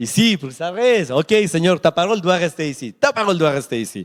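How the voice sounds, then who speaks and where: A man's high, animated voice with a non-native accent, very wide pitch swings and a fairly slow pace, in a dry, close sound with no echo. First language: not French (speaking French). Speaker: preacher. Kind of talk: sermon. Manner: repetitive, halting.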